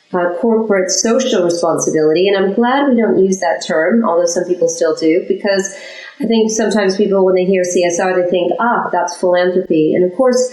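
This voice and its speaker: With hardly any pauses and very even loudness, a woman speaks at a fairly quick pace and medium pitch with ordinary pitch variation, against noticeable background noise. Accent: American. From United States. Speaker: chief sustainability officer. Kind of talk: interview.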